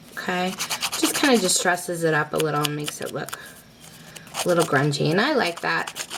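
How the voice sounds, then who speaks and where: A woman speaks at a fairly quick pace with a fairly low pitch. Noticeable background noise runs behind her. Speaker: crafting tutorial host. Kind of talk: tutorial. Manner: casual, filler words.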